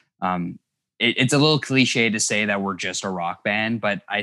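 On a very clean recording with a silent background and dry, close sound with no echo, a man with a Canadian accent speaks at a moderate pace, his fairly low voice bright and sharp, with ordinary pitch variation. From Thunder Bay, northern Ontario, Canada. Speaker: indie rock guitarist. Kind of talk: casual interview chat.

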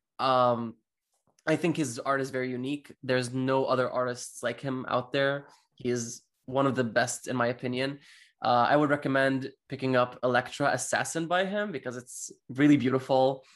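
Fairly even in intonation, a man's medium-pitched voice holds a moderate pace. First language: not English. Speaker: comic book podcast co-host. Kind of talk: casual chat.

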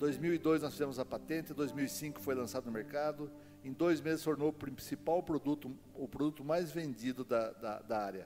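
A fairly high-pitched man talks at a moderate pace. He hardly pauses at all. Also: ordinary pitch variation. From Paraná interior, Brazil (Castro). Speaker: lay preacher. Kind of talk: sermon.

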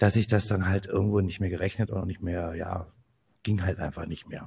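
A somewhat breathy man at a fairly quick pace, in a very clean recording with a silent background. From northern Hesse, Germany (Kassel). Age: 50s. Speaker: photographer, podcast co-host. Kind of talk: casual chat.

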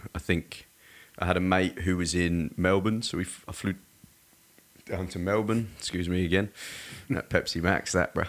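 A man speaks with an English accent at a very deep, low pitch. He leaves long, frequent pauses. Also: fairly even intonation, moderate pace. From England, Surrey. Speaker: personal trainer. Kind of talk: casual chat.

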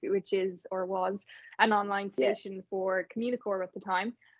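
With an Irish accent, a woman talks at a moderate pace and a medium pitch. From Ireland, Navan. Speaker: radio presenter. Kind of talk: interview. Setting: remote call.

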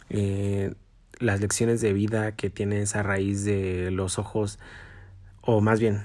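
A man talks at a very slow pace with a fairly low pitch. The recording is very clean, with a silent background. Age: 20s. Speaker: podcast host. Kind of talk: personal monologue. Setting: home recording in his bedroom. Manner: halting.

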